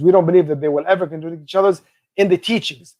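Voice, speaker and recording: High pitch from a man, varied in an ordinary way. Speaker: religious lecturer. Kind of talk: lecture. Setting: video call from office on campus. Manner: fast.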